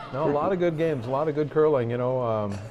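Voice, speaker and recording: Audible room echo and noticeable background noise around a man's voice, medium in pitch, with ordinary pitch variation. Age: 60s. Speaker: guest commentator, club board member. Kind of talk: casual chat.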